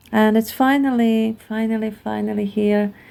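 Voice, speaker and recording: A woman at a very slow pace with a Hungarian accent. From Hungary. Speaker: tarot card reader. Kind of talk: card reading monologue. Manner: halting, many fillers.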